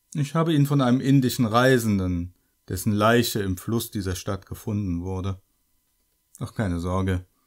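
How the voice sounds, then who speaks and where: A man with a fairly low pitch and ordinary pitch variation speaks on a very clean recording with a silent background. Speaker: shopkeeper character narrator. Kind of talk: scripted horror shopkeeper monologue, creepy storytelling addressed to the listener. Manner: smooth, sinister politeness, slow and theatrical, with mock-friendly menace.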